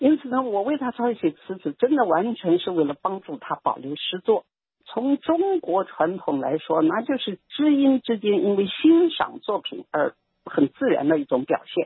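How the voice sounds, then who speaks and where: A woman with a fairly high pitch speaks at a moderate pace with very wide pitch swings. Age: 80s+. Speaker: retired professional and former political prisoner. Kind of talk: interview testimony.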